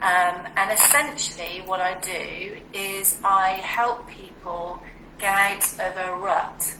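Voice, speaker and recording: A woman with a British accent at a medium pitch, very slow pace and fairly even intonation, with audible room echo and noticeable background noise. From UK. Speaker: well-being and relationship coach. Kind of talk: interview on a live video stream.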